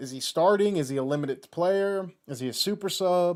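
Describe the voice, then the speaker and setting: This man has an American accent. He talks with lively intonation. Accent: southern US, slips out. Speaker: football YouTuber. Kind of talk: live watchalong commentary. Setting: livestream. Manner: casual, rambling with false starts.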